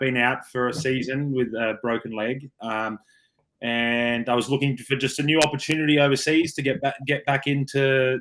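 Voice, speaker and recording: Recorded very cleanly over a silent background, a man with an Australian accent speaks with ordinary pitch variation. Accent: Australian, kept. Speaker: rugby player. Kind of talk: interview.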